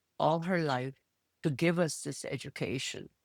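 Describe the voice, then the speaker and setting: A woman with a Spanish accent speaks in a very deep, low voice with lively intonation, recorded dry and close with no echo in a very clean recording over a silent background. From Peru, Lima. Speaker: retired attorney. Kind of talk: interview.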